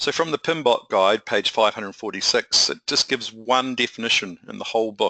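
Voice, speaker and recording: A man talks at a fairly quick pace with a New Zealand accent. The sound is dry and close with no echo, over a quiet background. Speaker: project management consultant. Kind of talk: webinar presentation. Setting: online webinar.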